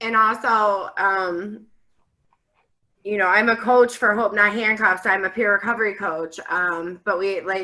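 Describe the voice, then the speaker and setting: A plain, everyday voice. It moves at a fairly slow pace with fairly even intonation. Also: woman, medium pitch for a woman. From US Midwest (Ohio). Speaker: peer recovery coach. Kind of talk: online community forum discussion.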